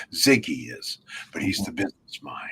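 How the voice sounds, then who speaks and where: Speech at a moderate speed plays out with noticeable background noise around it. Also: man. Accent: American. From New York (Brooklyn). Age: 80s+. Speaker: networking conference founder. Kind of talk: interview.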